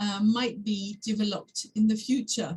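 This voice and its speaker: In a French accent, a woman speaks at a medium pitch and a very slow pace. Her voice is somewhat breathy, with a dark, mellow tone. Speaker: academic discussant. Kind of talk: seminar discussion. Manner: halting, many fillers.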